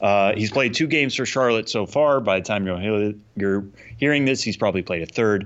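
A man talks in a plain, everyday voice at a moderate pace. His pitch is medium with ordinary variation. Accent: American. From Massachusetts. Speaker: podcast co-host. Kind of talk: casual chat.

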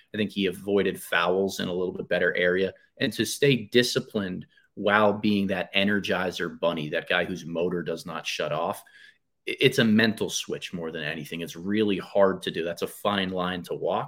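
A man talks at a moderate pace with a fairly low pitch and ordinary pitch variation in a normal speaking voice. The recording is very clean, with a silent background. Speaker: basketball podcaster and coach. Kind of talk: casual podcast interview chat. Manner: self-deprecating, conversational.

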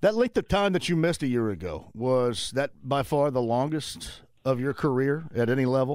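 Lively intonation colors an unremarkable speaking voice delivered at a medium speed. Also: man, medium pitch for a man. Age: 50s. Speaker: sports radio host. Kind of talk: sports talk radio. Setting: live remote broadcast at a tavern.

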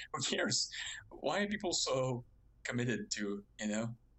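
A man with a French Canadian accent at a moderate pace. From Quebec, Montreal. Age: 20s. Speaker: web developer, subreddit moderator. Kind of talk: casual chat. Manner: halting.

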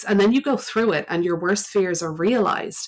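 In an Irish accent, a woman talks at a fairly quick pace. She shows ordinary pitch variation. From Ireland. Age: 30s. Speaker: meditation teacher. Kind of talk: casual interview. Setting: online call.

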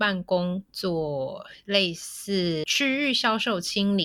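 Very slowly and at a medium pitch, a woman speaks in a bright, sharp tone in a very clean recording with a silent background. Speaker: co-working office sales rep. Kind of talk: casual interview chat.

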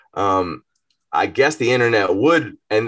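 Over a quiet background, a man with an American accent has a plain, everyday voice at a medium pitch, speaking at a fairly slow pace with lively intonation. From US South, Georgia (Marietta). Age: 30s. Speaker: rapper. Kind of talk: casual chat.

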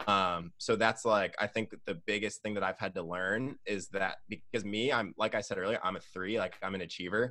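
A man with an American accent speaks at a fairly low pitch and a moderate pace, with hardly any pauses. His tone is bright and sharp, his intonation fairly even, and the background quiet. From Michigan, Lansing. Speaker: youth pastor. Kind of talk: casual chat.

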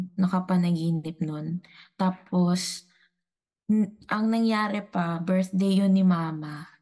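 In a quiet background, a woman speaks very slowly at a medium pitch, her dark, mellow tone somewhat breathy, with ordinary pitch variation. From Dumaguete, Visayas, Philippines. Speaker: returning guest, psychology-trained storyteller. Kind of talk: casual storytelling. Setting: online call.

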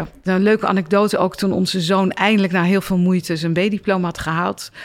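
Here a woman talks at a medium pitch and a moderate pace. She has an ordinary speaking voice. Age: 50s. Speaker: doctor and psychologist. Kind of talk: interview. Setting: stage with audience.

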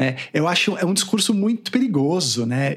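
Very wide pitch swings run through the voice, with noticeable background noise behind it. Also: man. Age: 40s. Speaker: son of a late music critic. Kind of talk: interview.

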